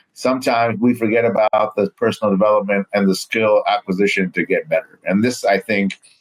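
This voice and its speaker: With an ordinary speaking voice, a man talks at a fairly low pitch and a fairly quick pace, his intonation fairly even, his loudness very even, and hardly any pauses, in a dry, close sound with no echo. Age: 40s. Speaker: podcast host. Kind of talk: interview conversation.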